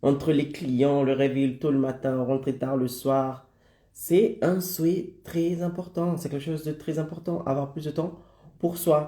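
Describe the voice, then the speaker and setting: A man's somewhat breathy, dark and mellow voice at a very slow pace, with fairly even intonation. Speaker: online business coach. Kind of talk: live stream presentation. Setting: live stream.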